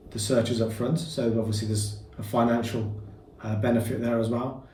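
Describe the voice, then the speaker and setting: With a Birmingham accent, a man speaks amid audible room echo. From Birmingham, England. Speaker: property business founder. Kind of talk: interview. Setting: boardroom.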